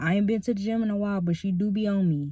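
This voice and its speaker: A soft-spoken woman's mumbling, somewhat breathy voice at medium pitch with ordinary pitch variation. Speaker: ASMR creator. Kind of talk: casual chat. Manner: medium volume, not whispering; naturally soft-spoken, mumbles.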